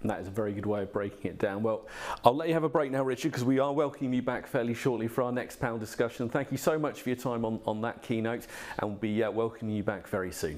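At a very fast pace, a man talks with ordinary pitch variation. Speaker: event host. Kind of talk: event moderation and interview. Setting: virtual event. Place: studio.

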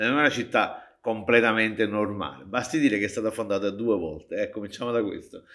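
The man's speech races along at a very fast clip. His pitch moves in an ordinary way, and the background stays quiet. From Naples, Italy (San Giovanni a Carbonara). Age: 60s. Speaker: popularizer of Neapolitan culture. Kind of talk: interview. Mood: playful, humorous. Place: stage.

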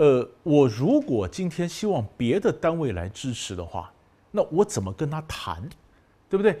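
A man speaks fairly slowly with a dark, mellow tone and vocal fry. His pitch is fairly high and swings very widely. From Taiwan. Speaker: professor. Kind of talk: lecture. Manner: conversational, rhetorical questions. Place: studio.

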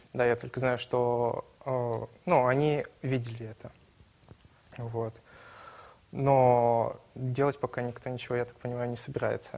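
Long, frequent pauses mark this man's fairly slow speech. His tone is dark and mellow, his intonation monotone and flat. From Ussuriysk, Primorsky Krai; Primorsky Krai. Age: 20s. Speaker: student, election candidate; election candidate. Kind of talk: political debate. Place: studio. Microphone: lapel.

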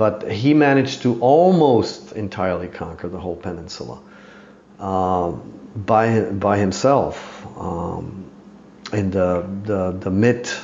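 Over noticeable background noise, a man speaks at a very slow pace in a fairly low pitch with ordinary pitch variation. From Czech Republic. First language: Czech. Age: 50s. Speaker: bow maker and mounted archer. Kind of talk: casual interview. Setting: in person at his home.

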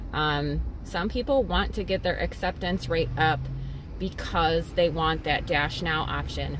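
Noticeable background noise behind a woman's dry voice with no echo. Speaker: delivery driver vlogger. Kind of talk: casual vlog chat. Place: car. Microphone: phone near.

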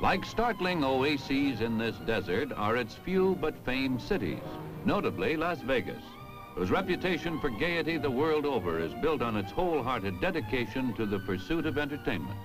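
Music plays in the background. The speech has very wide pitch swings, a moderate pace and very even loudness. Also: man, medium pitch for a man. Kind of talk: documentary narration.

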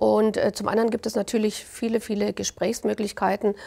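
A woman talks in a dark, mellow tone marked by vocal fry. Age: 60s. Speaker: mayor; city mayor. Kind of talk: interview. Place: studio. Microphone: lapel.

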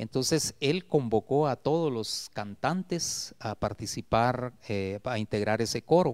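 A man speaks at a very slow pace with hardly any pauses, his pitch in the medium range. His intonation is lively, and the background is quiet. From Guatemala, Esquipulas; Guatemala. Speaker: retired teacher and poet; retired teacher, poet. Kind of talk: interview. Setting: TV studio. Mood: warm, reflective. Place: studio. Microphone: handheld.

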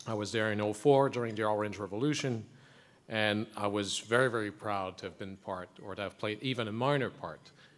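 Fairly quick and fairly even in intonation, a man talks at a fairly low pitch in an ordinary speaking voice. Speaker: city councillor. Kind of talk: formal speech. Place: hall. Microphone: podium.

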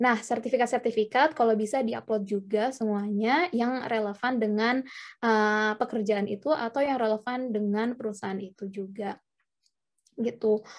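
In an unremarkable speaking voice, a woman speaks at a moderate pace with fairly high pitch and fairly even intonation against a quiet background. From Indonesia. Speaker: webinar speaker, working student; webinar speaker. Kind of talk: presentation and Q&A. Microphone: video call.

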